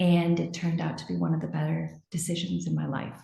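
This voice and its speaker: A woman with an American accent talks amid audible room echo. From United States. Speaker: marketing executive. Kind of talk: interview. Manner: hesitant, many fillers.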